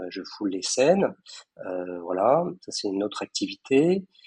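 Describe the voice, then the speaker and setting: Dry and close with no echo, a man speaks at a very slow pace. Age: 50s. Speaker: mental coach for athletes. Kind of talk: interview. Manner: hesitant, repeats words.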